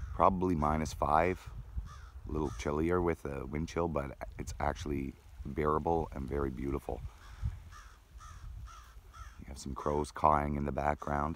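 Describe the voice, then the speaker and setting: Very deep, low male voice with vocal fry, dry sound without echo, and light background noise. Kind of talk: casual vlog chat. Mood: calm, delighted. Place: beach. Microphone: phone near.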